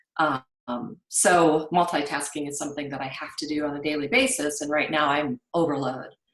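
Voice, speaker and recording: Speaking at a moderate pace, a woman has a very deep, low pitch. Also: big swings in loudness. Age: 60s. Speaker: webinar attendee, business owner. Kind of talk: webinar Q&A. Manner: halting.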